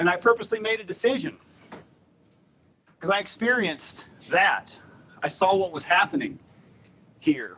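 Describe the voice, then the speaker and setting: A man with an American accent speaks at a high pitch and a moderate pace. His delivery has long, frequent pauses. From US South, Southern Appalachia. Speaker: transportation planner. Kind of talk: presentation.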